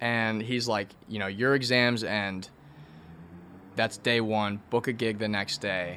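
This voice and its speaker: A man with an American accent speaks very slowly in a fairly low pitch, his tone bright and sharp. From Virginia, DC area. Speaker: musician. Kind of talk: casual interview. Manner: casual, hesitant with fillers.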